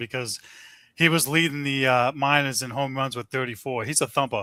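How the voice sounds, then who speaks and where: Speaking with a New England accent, a man uses a medium pitch, a bright, sharp tone and fairly even intonation. His pace is fairly quick, on a very clean recording with a silent background. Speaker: sports podcast panelist. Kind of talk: casual chat. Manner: halting.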